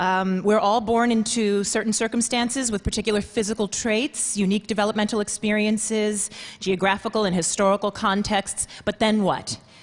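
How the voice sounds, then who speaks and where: Flat and monotone, a woman with an American accent speaks at a fairly high pitch and a moderate pace with very even loudness. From Queens, New York. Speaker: performer. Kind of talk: talk.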